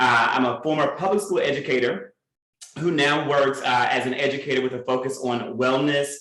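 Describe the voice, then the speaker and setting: In a room with audible echo, a man with a Southern US accent talks at a moderate pace and a medium pitch. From Mississippi. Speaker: educator and activist. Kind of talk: panel discussion.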